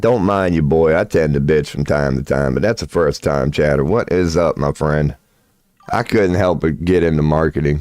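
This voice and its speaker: A man with an American accent and a very deep, low pitch, with ordinary pitch variation, very even loudness and a moderate pace. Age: 40s. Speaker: tarot reader and livestreamer. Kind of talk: casual livestream chat. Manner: animated. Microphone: sometimes poor mic.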